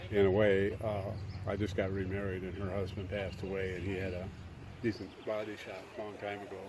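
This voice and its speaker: With audible room echo, a man talks at a fairly quick pace in a somewhat breathy, fairly low voice with monotone, flat intonation. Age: 80s+. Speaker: garage sale seller. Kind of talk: casual chat.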